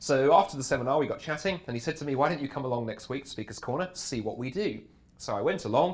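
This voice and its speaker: A man speaks with a British accent at medium pitch. His intonation is lively. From England. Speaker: apologetics speaker. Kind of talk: interview. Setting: backstage at a conference.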